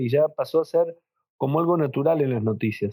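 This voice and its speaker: Talking at a fairly quick pace, a man speaks in a Rioplatense accent. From Argentina, Buenos Aires. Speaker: rabbi. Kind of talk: interview.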